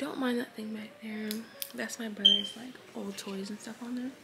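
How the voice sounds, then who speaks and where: A quiet woman's fairly high, monotone, flat voice against noticeable background noise. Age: 20s. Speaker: beauty vlogger. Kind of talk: casual vlog talk. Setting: at home early morning.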